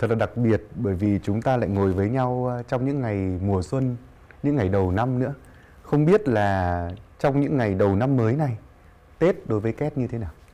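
At a moderate pace, a man speaks in a dark, mellow tone with ordinary pitch variation. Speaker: talk show host. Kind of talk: interview. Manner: formal. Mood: warm, smiling, friendly. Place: studio. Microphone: lapel.

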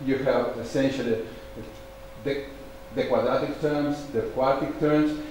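Strong room echo surrounds a man's voice, with light background noise. He speaks at a moderate pace. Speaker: conference speaker. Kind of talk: lecture. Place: hall.

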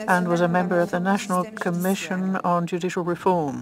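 Recorded dry with no echo, a woman talks at a moderate pace over noticeable background noise. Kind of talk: simultaneous interpretation of formal speaker introduction.

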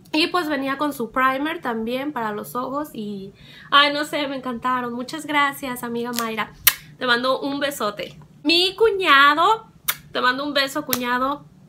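Over light background noise, a woman talks in a raised, projected voice with a high pitch. Her tone is animated and her pace fairly slow. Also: ordinary pitch variation. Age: 20s. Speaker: beauty and lifestyle vlogger; lifestyle vlogger. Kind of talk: casual vlog monologue. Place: home room. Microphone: phone near.

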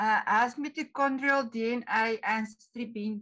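A woman with a fairly high pitch and a bright, sharp tone speaks at a fairly slow pace over a quiet background. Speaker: society event host. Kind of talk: speaker introduction. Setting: video call. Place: home room. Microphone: video call.

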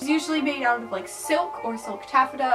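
A woman at a fairly quick pace over clear background music. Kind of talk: casual tutorial vlog. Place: home room. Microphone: camera far.

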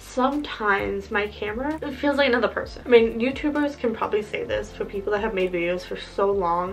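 At a fairly quick pace, a woman speaks with a fairly high pitch. Faint music plays in the background. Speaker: college student. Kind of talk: casual talk to camera. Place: home room. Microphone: phone near.

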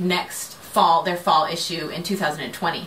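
Light background noise sits behind a woman's voice. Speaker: crafting podcast host. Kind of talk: casual vlog chat. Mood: relaxed, chatty. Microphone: camera far.

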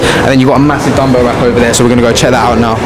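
The man's voice competes with loud background noise. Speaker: fitness vlogger. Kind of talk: casual vlog chat. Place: gym. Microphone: lapel.

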